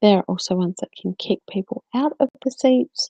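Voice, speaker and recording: A woman's medium-pitched voice has a dark, mellow tone and a dry, close sound with no echo. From South Australia. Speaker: co-host of live video chat. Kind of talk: live stream Q&A. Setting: live video chat room. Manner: hesitant, many fillers.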